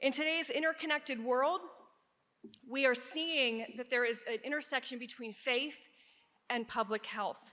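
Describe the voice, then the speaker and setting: A woman's raised, projected voice at high pitch, with a bright, sharp tone, a slight Pennsylvania accent, moderate pace, ordinary pitch variation and long, frequent pauses. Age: 50s. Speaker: nurse researcher and educator. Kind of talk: conference presentation.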